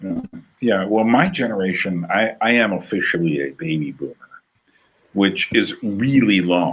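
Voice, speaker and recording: Using a normal speaking voice, a man with an American accent talks at a moderate pace and a fairly low pitch, with lively intonation. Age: 60s. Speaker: podcast host. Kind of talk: casual conversation.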